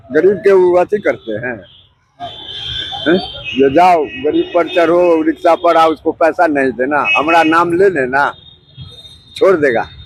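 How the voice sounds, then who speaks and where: A man speaks at a fairly high pitch with ordinary pitch variation. Noticeable background noise is present. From Samastipur, Bihar, India. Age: 70s. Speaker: rickshaw puller. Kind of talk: interview answer. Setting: outdoors.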